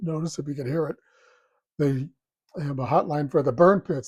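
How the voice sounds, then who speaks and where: Somewhat breathy and fairly high in pitch, a man speaks with fairly even intonation. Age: 70s. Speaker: political commentator. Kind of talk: solo commentary. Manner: halting with fillers.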